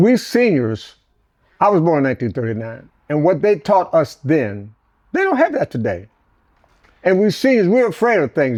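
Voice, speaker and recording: A man speaks with an American accent. His pitch swings very widely. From US Midwest, Detroit. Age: 80s+. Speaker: elder storyteller. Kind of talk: interview. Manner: animated.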